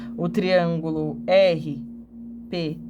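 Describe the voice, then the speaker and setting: A woman with audible room echo and noticeable background noise. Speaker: geometry drawing teacher. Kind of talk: tutorial.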